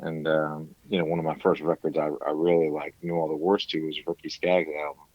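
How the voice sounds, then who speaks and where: A man with a very deep, low pitch. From Rhode Island, New England (Cranston). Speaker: country musician. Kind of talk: casual interview chat.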